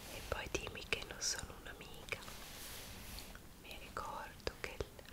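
A woman whispering at a moderate pace. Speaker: ASMR creator. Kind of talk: ASMR roleplay, personal attention. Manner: soft-spoken, whispered, soothing. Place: home room. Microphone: earbuds.

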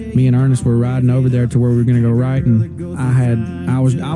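A man at a very fast pace with fairly even intonation, dry sound with no echo, and clear music in the background. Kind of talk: interview answer. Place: home room.

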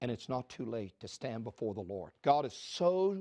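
Against a quiet background, a man's voice makes very wide pitch swings. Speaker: preacher making offering appeal. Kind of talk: urgent fundraising appeal in full preacher flow, pressing viewers to phone in donations. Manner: emphatic, rising fervor, direct call-and-response pleading to viewers. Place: studio.

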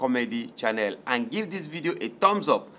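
With a bright, sharp tone and lively intonation, a man speaks at a moderate pace. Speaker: channel host. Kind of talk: casual outro appeal to viewers. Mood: earnest, pleading, warm.

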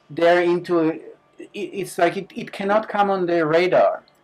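Speaking at a fairly slow pace, a man has a high-pitched voice. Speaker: guest. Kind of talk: interview answer. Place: studio.

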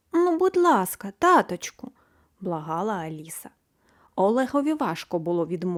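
With quiet all around, a natural voice reads the text aloud.

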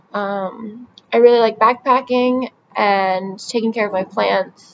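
A woman speaks with an American accent at a fairly slow pace. Light background noise can be heard. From US Northeast (New Jersey). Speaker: vlogger applying for a brand ambassador role. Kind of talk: application video monologue. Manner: casual with frequent fillers. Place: home room. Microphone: webcam.

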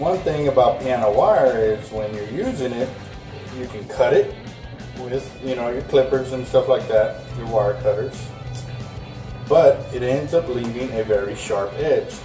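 A man at a fairly slow pace with long, frequent pauses and big swings in loudness, over clear music in the background. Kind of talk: tutorial. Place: shop.

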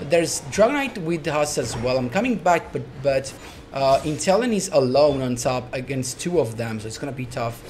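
A man with a normal speaking voice talks at a moderate pace in a fairly high pitch with ordinary pitch variation over light background noise. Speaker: gaming commentator. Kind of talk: gameplay commentary. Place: home room.

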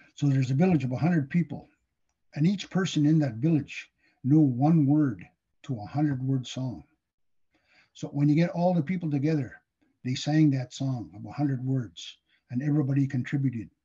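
A man with a fairly high pitch and a dark, mellow, somewhat breathy tone talks at a moderate pace with ordinary pitch variation and long, frequent pauses over a quiet background. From northern Manitoba, Cree First Nation. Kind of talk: educational talk. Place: home room. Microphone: webcam.

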